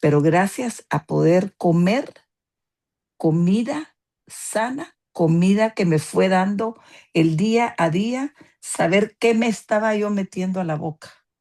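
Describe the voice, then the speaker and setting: Very slowly and with lively intonation, a woman speaks in a medium pitch with a dark, mellow tone and a dry, close sound with no echo. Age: 70s. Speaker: patient giving testimony. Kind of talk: testimony.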